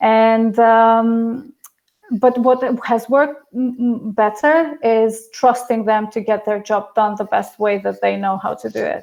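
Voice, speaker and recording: A woman with an Albanian accent speaks at a fairly slow pace and a fairly high pitch. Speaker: project management consultant. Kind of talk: Q&A answers at online talk. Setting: remote video stream. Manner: hesitant, many fillers and repeats.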